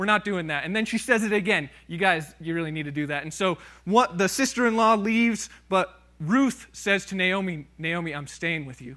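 A man's raised, projected voice with a bright, sharp tone over a quiet background. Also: moderate pace, big swings in loudness. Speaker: preacher. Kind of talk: sermon. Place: church.

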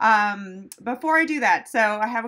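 Woman's voice, bright and sharp in tone, at a moderate pace with ordinary pitch variation and a quiet background. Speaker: veterinarian host. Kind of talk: live stream Q&A chat. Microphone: phone near.

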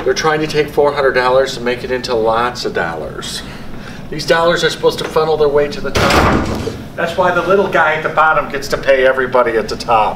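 Speech comes at a very fast pace with ordinary pitch variation. There is noticeable background noise. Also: man. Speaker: teacher. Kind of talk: lecture. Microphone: camera far.

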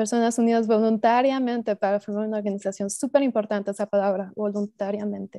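A very fast, monotone woman's voice with flat intonation, fairly high pitch and a dark, mellow tone, dry with no echo, over a quiet background. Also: hardly any pauses. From Mexico (Estado de México), moved to US at 15. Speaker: cooperative development specialist; presenter. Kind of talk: online seminar presentation. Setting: video call. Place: home room. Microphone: earbuds.

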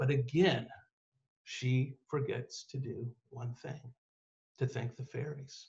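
Against a quiet background, a man speaks in an energetic, animated tone that is somewhat breathy. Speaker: author and writing teacher; guest. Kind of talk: lecture on myth and storytelling. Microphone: video call.

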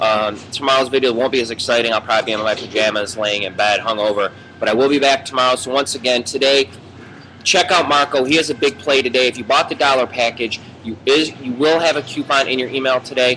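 With light background noise, a man of medium pitch speaks very fast with ordinary pitch variation. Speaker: sports betting show host. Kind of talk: promotional sports betting picks video. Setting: Irish pub. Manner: animated. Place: bar. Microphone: webcam.

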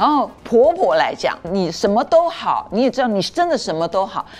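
The woman's pitch rises and falls very widely. She keeps a moderate pace. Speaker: media commentator. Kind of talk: TV talk show discussion. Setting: studio.

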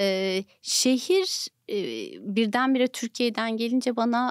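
Against a quiet background, a woman speaks very slowly in a fairly high voice. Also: dry sound with no echo. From Turkey. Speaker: nonprofit foundation director; podcast guest. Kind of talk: interview. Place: studio. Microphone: studio mic.

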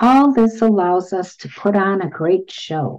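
A woman's dark, mellow tone with ordinary pitch variation, set against a quiet background. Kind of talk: reading student testimonials aloud. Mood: warm, reflective. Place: home room. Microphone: webcam.

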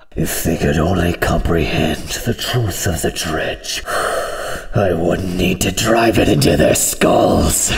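A man puts on a character voice, pitched very deep and low. He speaks at a fairly slow pace. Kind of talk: video game voice impression. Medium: solo performance. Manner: menacing, slow, grandiose.

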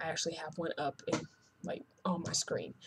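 A woman speaks at a moderate pace with an American accent. Her voice is somewhat breathy with a dark, mellow tone. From North Carolina. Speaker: hair vlogger. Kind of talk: casual vlog. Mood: chatty, self-mocking. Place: home room. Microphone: webcam.

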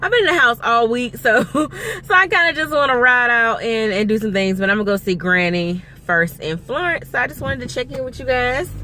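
A woman's voice swings very widely in pitch over light background noise. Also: dry sound with no echo. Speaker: vlogger. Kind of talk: casual vlog chat. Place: car. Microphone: phone near.

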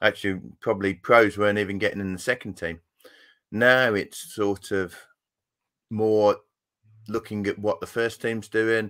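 With long, frequent pauses, a man speaks in a monotone, flat intonation at a fairly low pitch against a quiet background. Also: moderate pace. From Yorkshire, England. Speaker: former fast bowler, school cricket coach. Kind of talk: casual interview. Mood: relaxed, reflective. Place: home room.

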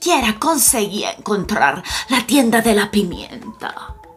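What you hear is plain reading aloud.

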